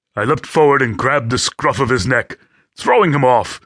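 A natural reading voice with ordinary pitch variation, set against a quiet background

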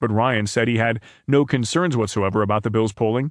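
Over a quiet background, a man talks fairly quickly at a medium pitch in an ordinary speaking voice. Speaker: audiobook narrator reading newspaper stories. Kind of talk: news reading. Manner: formal, steady and even-paced, neutral newsreader delivery; clear, measured and objective, with little emotion except when reading quotes.

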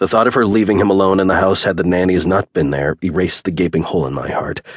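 A man with a very deep, low voice talks at a fairly quick pace with vocal fry and ordinary pitch variation, recorded dry and close with no echo. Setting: studio recording. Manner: emotionally weighted, brooding delivery of a grieving father.

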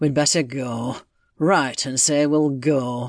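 A man does a put-on character voice at medium pitch, rumbling at a fairly slow pace. The background is quiet. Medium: read story. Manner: grudging, grumbling.

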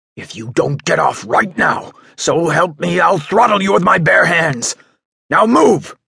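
A man shouts in a raspy, high-pitched, put-on character voice. He goes at a fairly slow pace with lively intonation. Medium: read story. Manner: furious, threatening, shouting.

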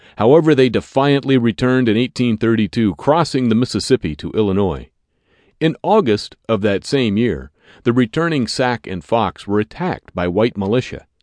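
Lively intonation marks this man's medium-pitched delivery at a moderate pace. He has a plain, everyday voice. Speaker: audiobook narrator. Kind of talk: scripted audiobook narration of history, formal newsreading style. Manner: formal, measured, clear, authoritative.

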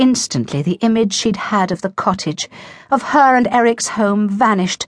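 At a moderate pace, a woman speaks in a fairly high, somewhat breathy voice with lively intonation over a quiet background. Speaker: audiobook narrator. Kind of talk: dramatic narration of a romance novel, voicing characters' dialogue. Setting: studio. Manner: measured, emotive storytelling pace.

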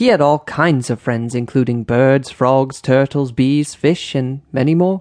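A man with an ordinary speaking voice at medium pitch, ordinary pitch variation, a fairly slow pace and hardly any pauses, in a dry, close sound with no echo and a quiet background. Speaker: audiobook narrator. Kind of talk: bedtime story narration, children's audiobook read aloud.

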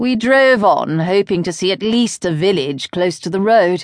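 Speaking with a British accent at a moderate pace, the voice carries a dramatic tone and lively intonation, the sound dry and close with no echo over a quiet background. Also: woman. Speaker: audiobook narrator. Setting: studio.

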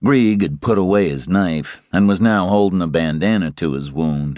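This man speaks at a moderate pace in a very deep, low pitch. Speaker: audiobook narrator. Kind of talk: dramatic audiobook narration of a western, reading aloud with character voices.

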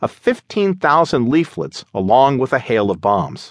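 Vocal fry marks this man's speech, which moves at a moderate pace with very wide pitch swings. The sound is dry and close with no echo, over a quiet background. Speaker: audiobook narrator. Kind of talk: audiobook narration of history, dramatic. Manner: dramatic, solemn, measured; formal, declamatory when reading the leaflet.

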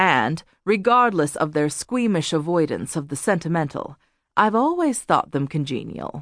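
This woman talks at a moderate pace in a fairly low voice, her pitch swinging very widely. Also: quiet background. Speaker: audiobook narrator. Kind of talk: audiobook reading of a first-person memoir. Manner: measured, polished, even-paced narration with dry, wry, reflective delivery; clear and formal, with smooth literate phrasing.

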